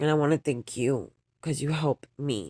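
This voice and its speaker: Speaking with an American accent and vocal fry, a woman with a very deep, low pitch is heard in a dry, close sound with no echo. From New York. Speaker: vlogger. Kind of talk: personal vlog monologue. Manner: emotional, halting.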